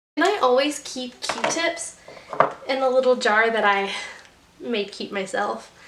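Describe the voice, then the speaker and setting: A woman's high voice with lively intonation, fairly slow and broken by long, frequent pauses, over noticeable background noise. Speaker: beauty vlogger. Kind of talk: makeup tutorial. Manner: casual, chatty.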